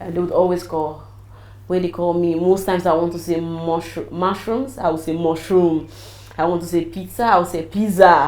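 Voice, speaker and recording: Moderate-paced speech from a woman with a fairly low voice, plus audible echo from the room. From Nigeria, Edo/Ondo area (Benin City). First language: Nigerian native language. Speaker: businesswoman and travel consultant. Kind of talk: interview. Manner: animated.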